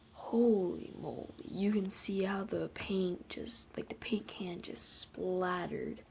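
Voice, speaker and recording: The speaker whispers at a very slow pace. There are hardly any pauses. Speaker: video reactor. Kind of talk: reaction commentary. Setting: at home early morning, family asleep. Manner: quiet; halting.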